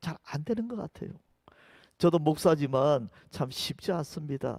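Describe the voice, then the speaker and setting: In a very clean recording with a silent background, a man's dark, mellow tone comes through with a dry, close sound with no echo. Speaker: pastor. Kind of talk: sermon.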